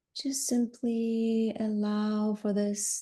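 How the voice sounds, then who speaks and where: A woman's medium-pitched voice carries a dark, mellow tone that is somewhat breathy, with a calm, soothing tone. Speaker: yoga nidra guide. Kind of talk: guided yoga nidra relaxation. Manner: slow, calm, soothing.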